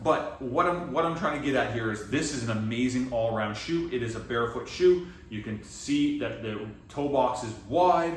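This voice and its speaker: With a Canadian accent and lively intonation, a man talks at a medium pitch and moderate pace amid audible room echo and noticeable background noise. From Atlantic Canada, Halifax, Nova Scotia. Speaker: fitness coach. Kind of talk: product review vlog. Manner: casual, halting with self-corrections.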